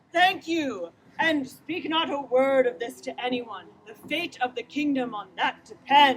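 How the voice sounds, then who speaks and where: A woman does a put-on character voice at a high pitch, talking at a moderate pace. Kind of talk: mock Shakespearean ghost. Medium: stage play. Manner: solemn, commanding.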